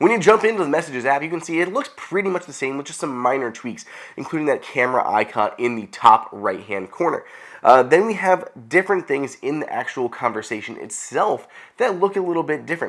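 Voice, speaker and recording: A man with a fairly high pitch and vocal fry talks at a fairly quick pace, with very wide pitch swings and big swings in loudness, on a very clean recording with a silent background. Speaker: tech video host. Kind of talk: tech tutorial.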